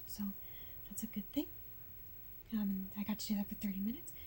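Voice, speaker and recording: A woman with a medium pitch and a dark, mellow tone speaks with fairly even intonation in a somewhat breathy voice. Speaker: patient recovering from surgery. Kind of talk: casual chat. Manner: halting.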